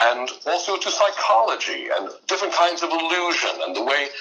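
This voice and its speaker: A high-pitched man with an American accent and lively intonation, over noticeable background noise. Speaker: mentalist and voice actor, performer of one-man theater shows. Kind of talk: podcast interview answer, conversational storytelling.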